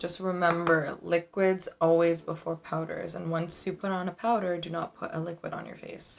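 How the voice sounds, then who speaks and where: Music plays behind a woman whose pitch is fairly low and whose intonation stays monotone and flat. She moves at a moderate pace, with big swings in loudness. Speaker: beauty YouTuber. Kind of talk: makeup tutorial. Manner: casual, chatty.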